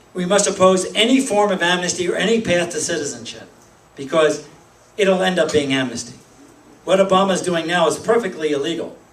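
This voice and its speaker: Someone with a Pennsylvania accent talks at a fairly quick pace with ordinary pitch variation, amid audible room echo and noticeable background noise. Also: man, high pitch for a man. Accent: Pennsylvania American. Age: 60s. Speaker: political activist. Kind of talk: speech to a meeting. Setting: meeting room with audience. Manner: halting.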